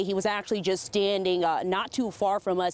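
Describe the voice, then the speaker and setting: A woman speaks fairly quickly at a medium pitch in an ordinary speaking voice. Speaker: news anchor and reporter. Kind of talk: TV news anchoring and live reporting.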